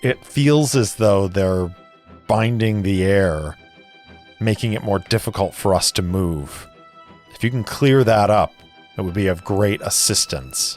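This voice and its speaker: A man's strained put-on character voice, fairly low in pitch with ordinary variation, at a fairly slow pace with long, frequent pauses and faint music in the background. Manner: strained, through gritted teeth.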